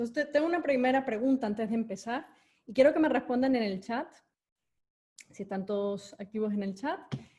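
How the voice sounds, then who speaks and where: The intonation is lively. A woman speaks at a fairly quick pace. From Venezuela. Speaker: corporate education executive and speaker. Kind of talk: online talk with audience chat. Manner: hesitant with fillers.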